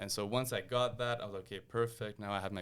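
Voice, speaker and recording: At a very fast pace, a man with a fairly low pitch speaks with fairly even intonation. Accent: Quebec. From Quebec, Montreal. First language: French. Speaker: engineer and lamp designer. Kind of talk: interview conversation. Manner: casual with fillers and repetitions.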